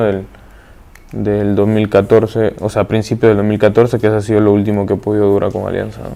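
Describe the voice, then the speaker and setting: A man's fairly low, flat, monotone delivery at a fairly quick pace. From Peru, Pisco. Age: 30s. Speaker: professional footballer. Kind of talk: interview. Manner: halting.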